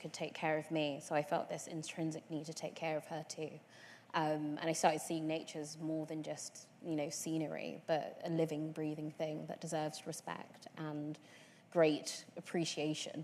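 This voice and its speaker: A woman speaks in a London accent with a very deep, low pitch. Her intonation is monotone and flat, and her pace is moderate. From London, Tottenham. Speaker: environmentalist. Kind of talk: panel discussion.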